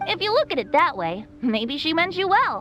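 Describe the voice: A woman performs a put-on character voice with a bright, sharp tone and a high pitch that makes big swings. She keeps a moderate pace over faint background music.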